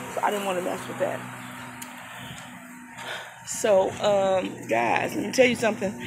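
Music plays in the background. The speech moves at a moderate pace. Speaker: dumpster diver vlogger. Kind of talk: casual vlog chat. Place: street. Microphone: phone near.

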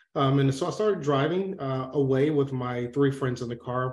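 A man talks in a somewhat breathy voice. The room echo is audible. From US South, Atlanta, Georgia. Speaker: former military medical officer, public health professional; interview guest. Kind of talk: interview. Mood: serious, reflective. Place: home room. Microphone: video call.

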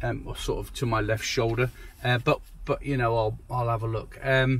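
The man's voice is somewhat breathy at a moderate pace. The sound is dry, with no echo. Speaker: photographer vlogger. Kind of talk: casual vlog chat. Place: car. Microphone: phone near.

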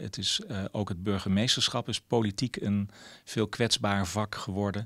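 A quiet background behind speech of moderate pace and ordinary pitch variation. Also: man. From Netherlands, several provinces. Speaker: mayor. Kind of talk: interview. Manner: hesitant, many filler sounds. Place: office. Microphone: handheld.

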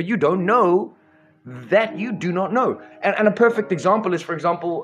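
A man speaks at a moderate pace while faint music plays behind him. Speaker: live stream host. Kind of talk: passionate monologue to viewers. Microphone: studio mic.

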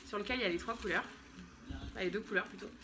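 A woman's intonation is lively as she talks, with light background noise behind her. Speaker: vlogger and mother; mother vlogger. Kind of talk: casual vlog haul. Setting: at home. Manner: chatty, hesitant with many euh. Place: home room. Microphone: phone near.

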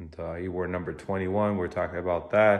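The man's voice is very deep and low in pitch, delivered in a monotone, flat intonation. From Sweden. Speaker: hockey coach. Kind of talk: casual storytelling vlog. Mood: relaxed, fond recollection. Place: workshop. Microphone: phone near.

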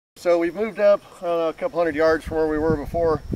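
A man at a very fast pace, dry sound with no echo, over loud background noise. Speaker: equipment demonstrator. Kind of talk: tutorial. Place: open country. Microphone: phone near.

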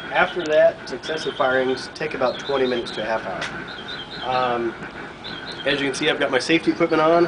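Noticeable background noise sits behind the recording. A man talks with ordinary pitch variation. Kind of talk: tutorial. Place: workshop. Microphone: camera far.

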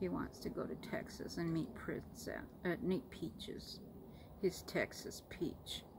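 Over noticeable background noise, a woman with an American accent speaks at a very slow pace. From Florida, USA. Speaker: pet owner. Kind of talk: casual talk to camera. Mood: affectionate, relaxed. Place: home room. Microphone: phone near.

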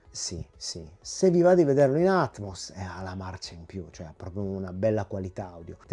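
Music plays in the background as a man with a very deep, low pitch speaks at a moderate pace with hardly any pauses and big swings in loudness. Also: ordinary pitch variation. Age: 40s. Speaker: YouTube film and home video reviewer. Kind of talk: video review monologue. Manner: animated.

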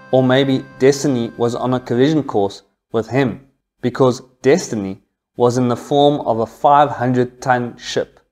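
At a fairly slow pace, a man talks while faint music plays behind him. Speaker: history channel host. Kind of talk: history storytelling narration. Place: home room. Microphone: lapel.

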